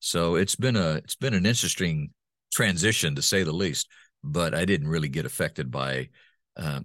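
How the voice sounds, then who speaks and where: With lively intonation, a man speaks in a dry, close sound that has no echo. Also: very clean recording, silent background. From Honduras (raised by missionary parents). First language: Spanish (bilingual). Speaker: voice-over artist and former radio host. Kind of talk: interview conversation. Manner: halting, many repetitions.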